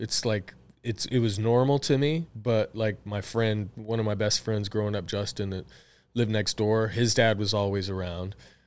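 On a very clean recording with a silent background, a man with a Southwestern US accent speaks at a fairly low pitch, a moderate pace, and fairly even intonation. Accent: US Southwest American. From Tucson, Arizona. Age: 40s. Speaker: podcast host, business owner. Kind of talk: casual chat, personal storytelling. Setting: office studio.

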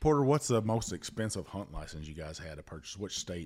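With a Southern US accent, a man speaks at a moderate pace in a very clean recording with a silent background. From US South. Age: 50s. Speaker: whiskey podcast host and Coast Guard veteran. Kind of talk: casual chat.

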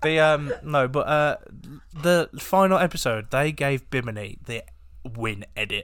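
A man with a British accent speaks in a fairly high voice with lively intonation. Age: 20s. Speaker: podcast co-host. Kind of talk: casual chat. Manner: joking, banter.

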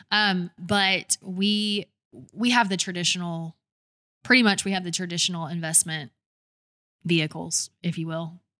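A woman speaks at a moderate pace in a fairly low voice with a bright, sharp tone and fairly even intonation, leaving long, frequent pauses. The recording is very clean with a silent background and a dry, close sound with no echo. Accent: Southern US. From Georgia, US South (Douglasville, near Atlanta). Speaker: brand design agency owner. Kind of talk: interview conversation.

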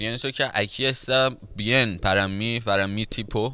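With a Persian accent, a man speaks at a very slow pace and a fairly low pitch. His tone is bright and sharp, with ordinary pitch variation. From Iran (Tehran). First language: Persian (speaking Spanish). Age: 20s. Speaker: rapper. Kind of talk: casual chat.

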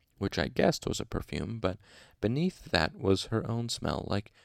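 The reader keeps the intonation lively in an unforced reading voice.

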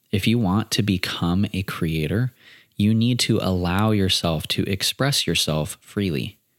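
A man speaks fairly slowly at a fairly low pitch, with ordinary pitch variation, very even loudness and a dry, close sound with no echo. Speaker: podcast host. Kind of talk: solo monologue podcast. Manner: pauses a lot.

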